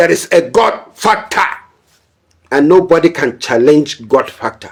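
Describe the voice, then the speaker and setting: A man with a high voice and lively intonation speaks at a fairly slow pace. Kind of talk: political commentary, warning to a pastor. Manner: forceful, admonishing.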